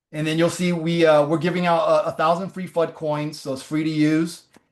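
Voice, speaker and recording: A man speaks at a fairly quick pace. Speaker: startup founder presenting AI tool. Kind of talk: webinar presentation with live demo. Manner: fast.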